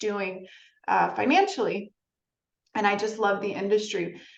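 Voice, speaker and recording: Over audible room echo, a woman talks at a moderate pace in a medium pitch. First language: Spanish. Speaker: marketing agency founder. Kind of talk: podcast interview.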